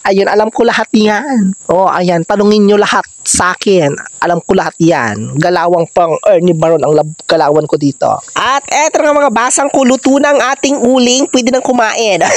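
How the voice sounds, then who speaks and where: The tone is animated and playful, at a moderate pace. Noticeable background noise sits behind it. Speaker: vlogger. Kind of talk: casual vlog narration. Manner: animated, playful.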